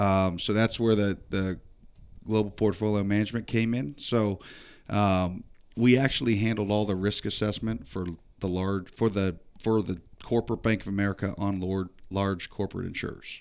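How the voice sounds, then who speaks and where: Recorded very cleanly against a silent background, a man uses a normal speaking voice at a moderate pace, with fairly low pitch and fairly even intonation. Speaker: college football coach. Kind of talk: casual interview chat.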